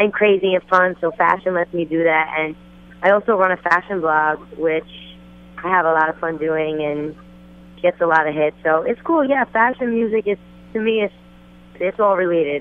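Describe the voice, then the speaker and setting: A woman with a New Jersey accent speaks at a moderate pace and a fairly low pitch, with ordinary pitch variation and long, frequent pauses. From New Jersey, Passaic County. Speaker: rapper and singer. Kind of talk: phone interview. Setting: phone call, outdoors at fashion event.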